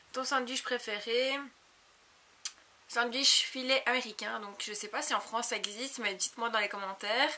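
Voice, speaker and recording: Fairly high-pitched woman's voice amid noticeable background noise. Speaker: beauty YouTuber. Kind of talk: casual Q&A vlog. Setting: home video recorded on a compact camera.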